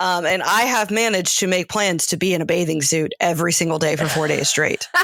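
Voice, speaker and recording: This woman talks fairly quickly with a slight Southern US accent, her pitch fairly low with ordinary variation. Her tone is animated and her loudness very even. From US South, Macon, Georgia. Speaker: podcast co-host. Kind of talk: casual chat.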